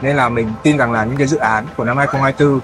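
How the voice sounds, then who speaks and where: A man rattles off his words very fast while clear music sounds behind him. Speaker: singer. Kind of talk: interview answer. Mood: relaxed, friendly, animated. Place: studio.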